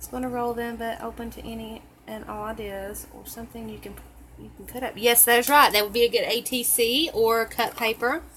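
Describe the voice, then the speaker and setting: Over noticeable background noise, a woman with a Southern US accent speaks at a moderate pace in monotone, flat intonation. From Tennessee, US South. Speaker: crafter. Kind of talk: tutorial. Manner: chatty, casual.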